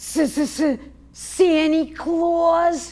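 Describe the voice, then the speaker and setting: A woman uses a put-on character voice at an extremely high pitch. Her intonation stays fairly even. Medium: stage play. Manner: gruff, stubborn.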